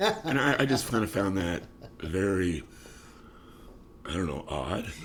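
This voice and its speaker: With audible room echo, a man speaks fairly slowly in a very deep, low voice that swings very widely in pitch. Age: 60s. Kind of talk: casual interview.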